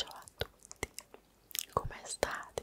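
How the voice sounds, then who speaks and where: Very slow whispering from a woman. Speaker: ASMR creator. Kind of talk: ASMR whispered show-and-tell. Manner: whispered. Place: home room. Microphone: studio mic.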